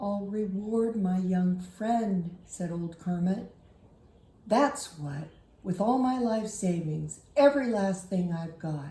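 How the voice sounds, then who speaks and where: A woman speaks at a fairly slow pace in a gruff, rumbling put-on character voice of medium pitch, with a slight echo. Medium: read story. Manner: gruff, grumbling.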